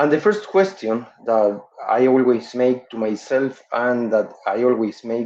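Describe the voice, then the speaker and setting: At a fairly slow pace, a man with a non-native accent speaks at medium pitch with ordinary pitch variation and a dark, mellow tone. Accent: non-native English speaker. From Uruguay. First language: Spanish. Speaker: dental professor. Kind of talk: webinar lecture. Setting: online webinar. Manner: halting with frequent fillers.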